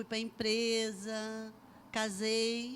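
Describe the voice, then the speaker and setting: A woman speaks at a fairly high pitch. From Brazil, Bananal, São Paulo state; raised in Resende from age 11. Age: 60s. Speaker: church member giving testimony. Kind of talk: testimony interview.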